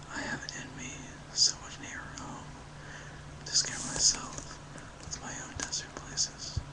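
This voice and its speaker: Someone whispers at a fairly slow pace, leaving long, frequent pauses. Noticeable background noise runs underneath. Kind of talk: poetry reading. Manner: whispered.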